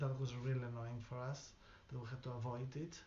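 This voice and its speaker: A man talks in a somewhat breathy voice, and audible room echo can be heard around him. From outside the UK. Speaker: local resident. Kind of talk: interview testimony. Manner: halting.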